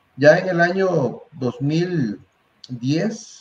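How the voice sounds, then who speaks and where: A man with a Costa Rican accent speaks with lively intonation. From Costa Rica, San José area (Tibás). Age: 60s. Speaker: university candidate for rector, statistics tutor. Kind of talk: interview. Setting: live stream. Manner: hesitant, with fillers and repetitions.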